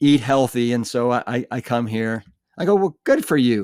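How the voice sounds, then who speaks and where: A man of medium pitch speaks at a moderate pace in a very clean recording with a silent background and a dry, close sound with no echo. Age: 60s. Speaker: former firefighter and plant-based diet author. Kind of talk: interview. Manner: animated.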